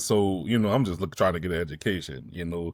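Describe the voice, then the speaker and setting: A man talks at a fairly quick pace with an American accent and ordinary pitch variation. The recording is very clean with a silent background and a dry, close sound with no echo. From New Orleans, Louisiana. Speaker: actor and independent filmmaker. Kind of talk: casual vlog monologue. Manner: casual, conversational with many fillers.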